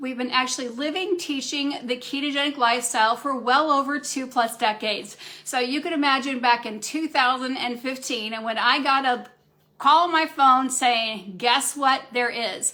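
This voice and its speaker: A woman speaks in a raised, projected voice, her high pitch carrying a bright, sharp tone with ordinary pitch variation. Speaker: functional medicine practitioner. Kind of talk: live Q&A talk. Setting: Facebook live stream. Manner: fast.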